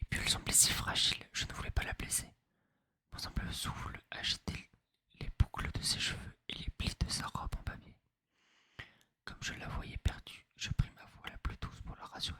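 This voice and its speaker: Whispering at a moderate pace, with long, frequent pauses, big swings in loudness, and a dry, close sound with no echo. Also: man. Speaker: ASMR creator. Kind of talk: read story. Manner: whispered.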